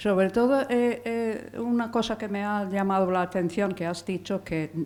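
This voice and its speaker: Her pitch varying in an ordinary way, a woman talks with an English accent. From England. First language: English (speaking Spanish). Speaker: audience member. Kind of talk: audience question. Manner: hesitant.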